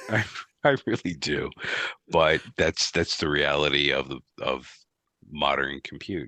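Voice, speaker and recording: This man's pitch is very deep and low, with vocal fry and a bright, sharp tone. He speaks at a fairly slow pace with long, frequent pauses, in a dry, close sound with no echo. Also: ordinary pitch variation. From US East Coast. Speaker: IT director. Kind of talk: podcast interview.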